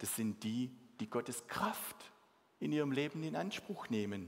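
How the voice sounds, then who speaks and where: Lively in intonation, a man with a Swabian accent speaks at a very slow pace. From Swabia, southern Germany. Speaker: mission organization leader, guest preacher. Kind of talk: sermon. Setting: church service with congregation.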